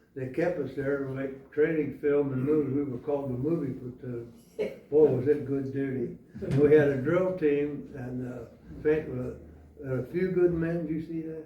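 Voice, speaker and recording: Amid audible room echo and noticeable background noise, a man with a fairly high pitch talks at a moderate pace with fairly even intonation and big swings in loudness. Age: 90s. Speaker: Marine Corps veteran. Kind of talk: oral history interview. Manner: halting.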